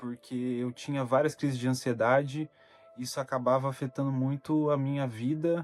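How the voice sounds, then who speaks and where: Against music in the background, a man speaks at a medium pitch with monotone, flat intonation in a dry, close sound with no echo. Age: 20s. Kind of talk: personal talk to camera about mental health.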